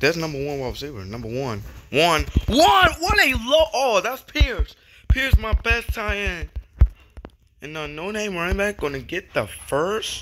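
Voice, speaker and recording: A man's high voice with very wide pitch swings. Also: fairly slow pace, big swings in loudness. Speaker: gaming YouTuber. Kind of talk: live play-by-play commentary of a video game, narrating each pass and catch. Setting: home recording while playing a video game. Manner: animated, excitable.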